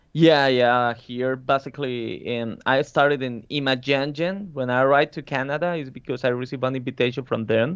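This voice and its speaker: Speaking at a fairly quick pace with a Spanish accent, a man uses a medium pitch and fairly even intonation. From Colombia. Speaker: concept artist. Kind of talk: interview.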